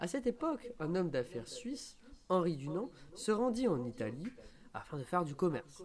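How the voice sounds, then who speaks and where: A man's voice with very wide pitch swings. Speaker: law student and volunteer. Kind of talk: pre-recorded scripted column. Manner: formal.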